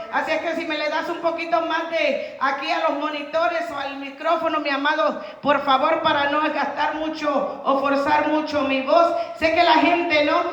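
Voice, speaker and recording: A woman shouts loudly at a high pitch, in monotone, flat intonation at a moderate pace. Noticeable background noise and audible room echo surround her. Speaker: evangelist preacher. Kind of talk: sermon. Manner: loud, sounds like shouting.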